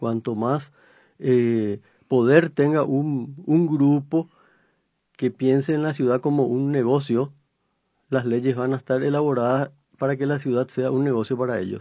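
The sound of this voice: At a fairly slow pace, a man with a medium pitch and a slightly husky edge speaks with fairly even intonation.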